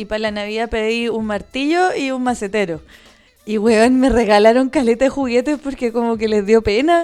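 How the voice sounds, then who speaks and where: With a Chilean accent, a woman speaks at a moderate pace while music plays in the background. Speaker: podcast co-host. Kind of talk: casual chat. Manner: animated.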